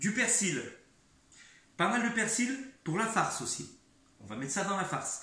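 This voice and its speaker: A man with a high pitch projects his raised voice at a moderate pace, with lively intonation and long, frequent pauses. Audible room echo and noticeable background noise surround him. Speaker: home cook making cooking videos. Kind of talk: cooking tutorial. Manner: halting, repeats words.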